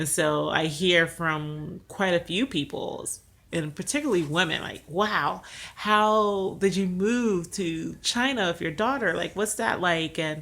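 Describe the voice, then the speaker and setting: A woman's fairly low pitch with an American accent, lively intonation and a fairly slow pace, an unremarkable speaking voice. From United States. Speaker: vlogger. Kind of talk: casual vlog monologue.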